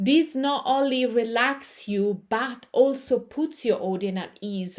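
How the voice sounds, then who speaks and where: Her pitch is fairly high, with ordinary variation. The woman speaks at a very slow pace. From Italy. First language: Italian. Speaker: yoga teacher and public speaking coach. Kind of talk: live online class. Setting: livestream on camera.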